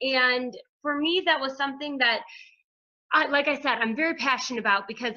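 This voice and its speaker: A raised, projected voice has a bright, sharp tone. Its pitch variation is ordinary. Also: woman. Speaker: hairdresser and wellness coach. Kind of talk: group call presentation. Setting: conference call. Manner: fast.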